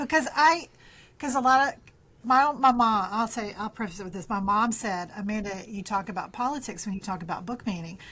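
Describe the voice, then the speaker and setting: A woman's fairly high, bright and sharp voice at a fairly quick pace, with big swings in loudness, on a very clean recording with a silent background. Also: ordinary pitch variation. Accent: Southern US. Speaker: librarian and author. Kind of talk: interview. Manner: halting, many fillers and restarts.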